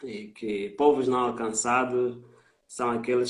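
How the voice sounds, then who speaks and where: Speaking very slowly, a man with a Mozambican accent uses a medium pitch. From Mozambique. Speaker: missionary. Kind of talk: interview testimony on a live stream. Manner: hesitant with frequent fillers.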